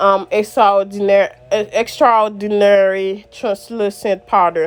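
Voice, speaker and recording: Against noticeable background noise, a woman with a strong Haitian accent speaks at a medium pitch and fairly slow pace with fairly even intonation. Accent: strong Haitian Creole accent in English. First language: Haitian Creole. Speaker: makeup vlogger. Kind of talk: makeup tutorial. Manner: halting, code-switching Creole and English.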